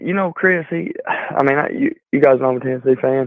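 A man with an ordinary speaking voice, fairly high in pitch, with ordinary pitch variation and a moderate pace. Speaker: Tennessee fan caller. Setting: phone call.

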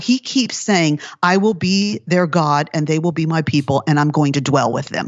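Her intonation is lively. The woman uses a normal speaking voice. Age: 50s. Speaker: author and Bible teacher. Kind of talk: casual interview.

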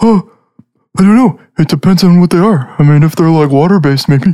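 A put-on character voice speaks at middle pitch. The pace is fairly quick. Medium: actual play. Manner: hesitant, filler-heavy, enthusiastic.

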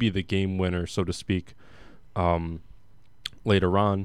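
This is a man with a fairly low pitch. The recording is very clean, with a silent background. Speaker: radio host. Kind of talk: radio DJ patter, upbeat show intro. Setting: college radio studio. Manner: upbeat, energetic, playful.

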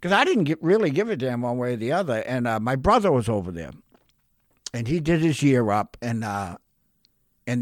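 A man with an American accent talks at a fairly quick pace in a medium pitch, his pitch swinging very widely, on a very clean recording with a silent background. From Massachusetts (North Shore). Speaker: recovering alcoholic sharing his story. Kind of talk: testimony.

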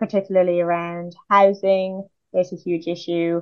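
A woman speaks fairly slowly at medium pitch with a Dublin accent. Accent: Irish (Dublin). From Ireland, Dublin area. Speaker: PhD researcher in linguistic anthropology. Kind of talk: interview.

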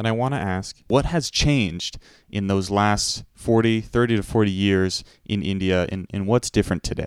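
This man has an ordinary speaking voice, fairly low in pitch, with ordinary pitch variation. He speaks at a fairly slow pace in a very clean recording with a silent background. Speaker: radio host. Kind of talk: radio interview.

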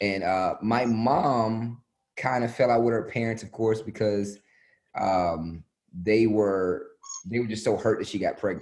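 In an ordinary speaking voice, a man with an American accent speaks fairly slowly at a medium pitch with fairly even intonation. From US. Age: 30s. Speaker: comedian and actor. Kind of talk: casual interview.

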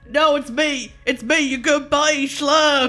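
A man uses a put-on character voice at an extremely high pitch. He speaks fairly slowly with monotone, flat intonation.

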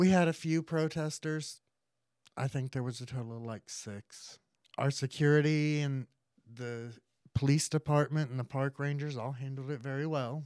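An ordinary speaking voice with an American accent moves at a moderate pace with fairly even intonation, in a very clean recording with a silent background and a dry, close sound with no echo. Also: man, fairly high pitch for a man. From US South, central Florida. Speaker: drag performer and pride organizer. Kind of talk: casual interview.

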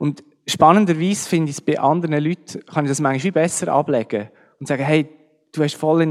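A man talks at a very fast pace. His fairly high voice keeps a fairly even intonation. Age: 40s. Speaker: church musician. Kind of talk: testimony.

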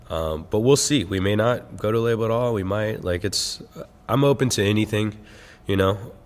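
Speaking at a moderate pace, a man uses an ordinary speaking voice with fairly low pitch and ordinary pitch variation. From Texas. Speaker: rapper. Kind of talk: casual interview chat. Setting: theater venue.

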